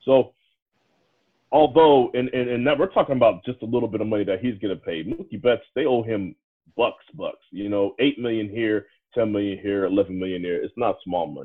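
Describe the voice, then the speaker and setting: A man speaks with an American accent in an ordinary speaking voice, pitched in the medium range. His pace is fairly quick, with ordinary pitch variation. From Washington DC area, US. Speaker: sports podcast co-host. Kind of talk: casual chat.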